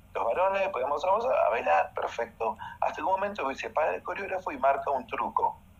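Noticeable background noise sits under a man's fairly quick speech. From Uruguay, Montevideo. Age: 50s. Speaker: dancer and choreographer. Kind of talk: casual interview chat. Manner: animated.

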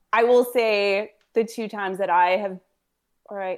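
A woman's normal speaking voice at a medium pitch and moderate pace, on a very clean recording with a silent background. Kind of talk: casual chat.

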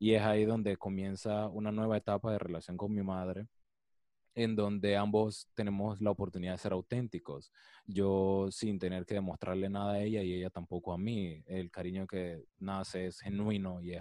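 In a Panamanian accent, a man speaks at a moderate pace with a dark, mellow tone, a fairly low pitch and a monotone, flat intonation. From Panama, Colón. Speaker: psychologist. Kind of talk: interview.

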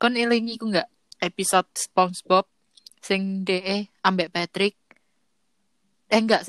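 In a dry, close recording with no echo, a woman speaks very slowly with monotone, flat intonation. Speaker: podcaster guest. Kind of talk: casual chat.

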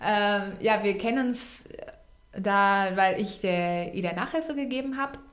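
Heard with noticeable background noise and audible room echo, the voice moves at a fairly slow pace with ordinary pitch variation. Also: woman, medium pitch for a woman. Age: 20s. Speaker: podcast co-host. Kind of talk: casual chat. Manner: halting.

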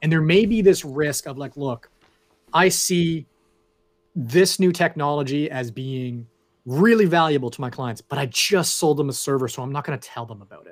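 A man with a Canadian accent, a normal speaking voice, fairly high in pitch, at a moderate pace. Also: ordinary pitch variation, big swings in loudness. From Canada. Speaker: cloud infrastructure sales consultant. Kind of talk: casual interview chat.

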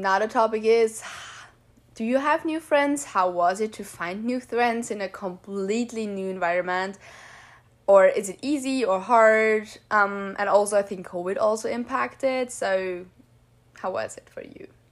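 A woman with an Austrian accent speaks at a fairly high pitch and a fairly slow pace. Her loudness swings widely. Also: ordinary pitch variation. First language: German. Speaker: podcast host. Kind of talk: casual chat. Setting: remote call.

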